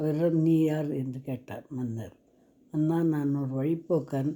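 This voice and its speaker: A woman's very deep, low voice with a dark, mellow tone and fairly even intonation. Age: 80s+. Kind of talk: religious story telling.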